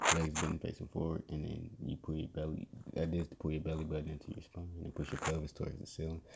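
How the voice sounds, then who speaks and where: A man speaks with a very deep, low pitch and a somewhat breathy quality. His intonation stays fairly even at a moderate pace. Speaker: podcast host. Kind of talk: casual tutorial. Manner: hesitant, many fillers.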